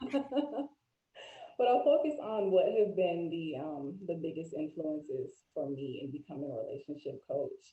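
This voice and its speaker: At a moderate pace, a woman with an American accent speaks in a somewhat breathy voice at a medium pitch with very wide pitch swings. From Florida, US. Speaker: life coach and mental health advocate. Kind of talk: interview conversation.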